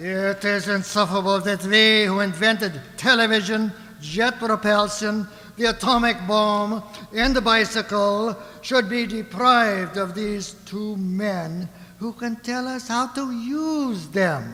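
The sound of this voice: A put-on character voice, bright and sharp in tone, at a slow pace with audible room echo. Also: man, high pitch for a man, ordinary pitch variation.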